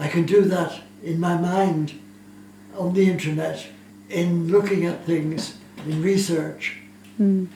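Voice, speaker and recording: Over noticeable background noise, a man with a high-pitched voice speaks at a very slow pace with long, frequent pauses and ordinary pitch variation. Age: 80s+. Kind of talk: interview answer.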